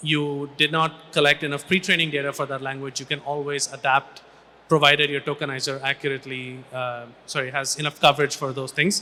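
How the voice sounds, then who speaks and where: A man's fairly high, bright, sharp voice in a Tamil accent, flat and monotone in intonation. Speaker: AI research scientist. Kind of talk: panel discussion. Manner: halting, many restarts.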